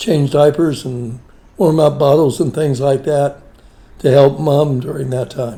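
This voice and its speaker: A man with a western Pennsylvania accent, his dark, mellow tone somewhat breathy, speaking at a very slow pace with fairly even intonation. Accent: western Pennsylvania American. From western Pennsylvania (Beaver Falls area). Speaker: family elder interviewed about his life. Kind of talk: family oral-history interview.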